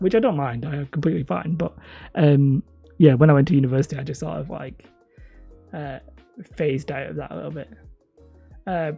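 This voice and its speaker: Over music in the background, a man with a fairly high pitch talks at a fairly quick pace, with ordinary pitch variation and long, frequent pauses. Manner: hesitant, lots of filler words.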